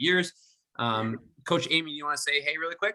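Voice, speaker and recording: A man speaks with an American accent at a very fast pace. His pitch varies in an ordinary way. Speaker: swim coach. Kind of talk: online orientation presentation.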